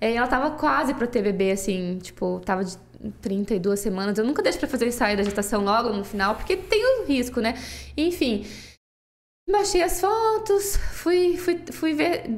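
With audible room echo, a woman speaks in a high pitch that swings very widely. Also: moderate pace. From southern Brazil, Toledo (Paraná). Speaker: photographer. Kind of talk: casual interview.

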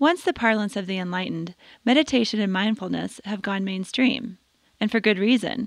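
Against a quiet background, a woman with a plain, everyday voice speaks at a medium pitch and a moderate pace with ordinary pitch variation. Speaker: podcast host. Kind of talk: scripted narration. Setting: studio.

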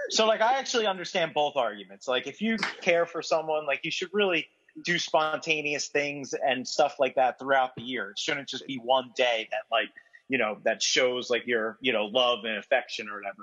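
A man with an unremarkable speaking voice, fairly high pitch, lively intonation and a moderate pace. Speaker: podcast co-host. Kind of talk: casual chat.

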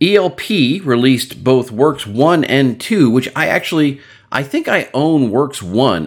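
A man is speaking. His pitch swings very widely. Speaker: podcast host. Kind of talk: casual chat.

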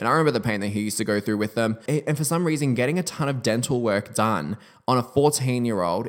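In a very clean recording with a silent background, a man with an Australian accent speaks at medium pitch with ordinary pitch variation. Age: 20s. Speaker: podcast host and beauty entrepreneur. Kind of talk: casual solo podcast monologue.

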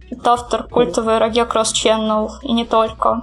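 Noticeable background noise sits behind a woman whose voice has a fairly high pitch. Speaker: artist. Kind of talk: casual chat.

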